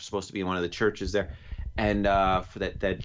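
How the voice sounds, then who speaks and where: The speaker talks at a fairly quick pace in a New York accent. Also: man. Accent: New York accent coming out. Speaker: podcast co-host. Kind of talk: casual chat.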